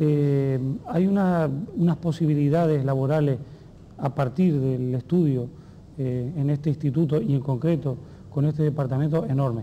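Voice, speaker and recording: Against light background noise, a man speaks at a moderate pace. His loudness is very even and his intonation fairly even. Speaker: TV interviewer. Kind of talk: interview. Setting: at a school. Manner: formal. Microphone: lapel.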